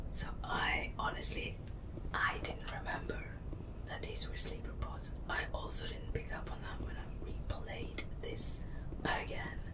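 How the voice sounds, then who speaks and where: Someone whispers. Noticeable background noise sits behind the voice. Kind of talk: ASMR game tour, relaxed casual narration. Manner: soft-spoken, relaxed, conversational.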